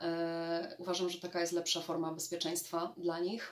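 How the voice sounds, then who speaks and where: A woman is speaking here. Her pitch sits fairly low. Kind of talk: casual vlog storytelling. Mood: amused, reflective. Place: home room.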